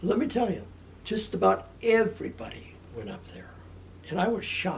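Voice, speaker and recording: A man is speaking. He has an Upper Midwest accent. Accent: Upper Midwest American. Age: 70s. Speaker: interviewee recalling family history. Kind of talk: oral history interview. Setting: family home. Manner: halting, repeats words.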